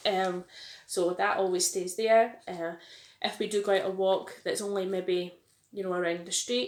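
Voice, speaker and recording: A woman speaks with a Scottish accent. Her intonation is monotone and flat. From Glasgow, Scotland. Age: 30s. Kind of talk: casual talk to camera.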